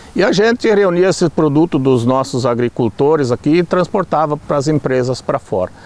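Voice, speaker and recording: The sound is dry and close with no echo, and a man speaks at a moderate pace with lively intonation over noticeable background noise. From Rio Grande do Sul, Brazil. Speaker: local resident. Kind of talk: testimony.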